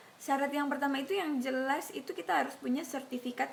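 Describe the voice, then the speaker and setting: A woman's high voice at a fairly quick pace amid noticeable background noise. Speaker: YouTuber, scholarship recipient. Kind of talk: casual Q&A vlog. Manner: casual, with hesitations.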